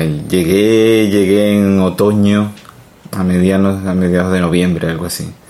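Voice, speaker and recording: A man's fairly low voice comes through with noticeable background noise behind it. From Colombia. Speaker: immigrant interviewee. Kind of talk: casual interview. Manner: halting. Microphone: too quiet.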